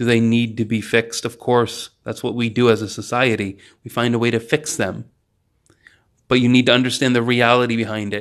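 Using a monotone, flat intonation, a man of medium pitch speaks at a fairly quick pace. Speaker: podcast host. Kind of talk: solo monologue. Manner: unscripted, off the cuff.

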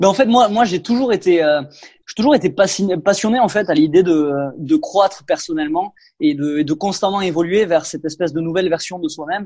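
A high-pitched man with lively intonation. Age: 20s. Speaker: personal development content creator. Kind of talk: interview. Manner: hesitant, frequent fillers and repetitions.

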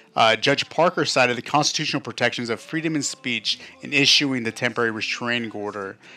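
A man with an American accent at a very fast pace, hardly any pauses, ordinary pitch variation, and noticeable background noise. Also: medium pitch for a man. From Nevada. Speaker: podcast co-host. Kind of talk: casual chat. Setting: studio.

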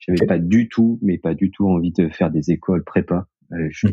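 Here a man talks at a moderate pace. His very deep, low voice keeps a fairly even intonation. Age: 30s. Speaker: co-founder of a connected-devices company. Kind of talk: interview. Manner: halting, with many fillers and repetitions.

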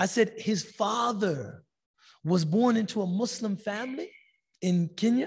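This man has a high pitch and ordinary pitch variation, speaking at a fairly slow pace. His tone is animated, and the background is quiet. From United States. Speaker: Islamic teacher. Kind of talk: religious lecture; storytelling.

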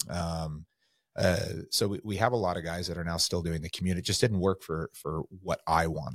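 A man with an American accent and a very deep, low pitch. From California. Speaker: real estate agent, former firefighter and police officer. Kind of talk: casual chat.

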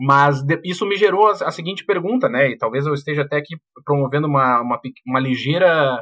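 Here is an unremarkable speaking voice from a man with fairly high pitch. He speaks at a fairly quick pace with ordinary pitch variation. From Porto Alegre, southern Brazil. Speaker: university professor. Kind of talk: casual chat.

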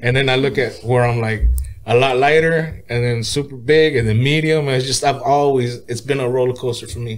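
A man with an American accent and medium pitch talks at a fairly quick pace with fairly even intonation in a room with audible echo. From Oxnard, California. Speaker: rapper. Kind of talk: casual interview.

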